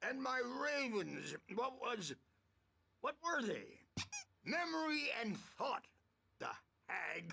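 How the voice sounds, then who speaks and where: Using a put-on character voice at an extremely high pitch, a man speaks at a very slow pace with long, frequent pauses, very wide pitch swings and very even loudness. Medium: video game. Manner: rambling, drifting.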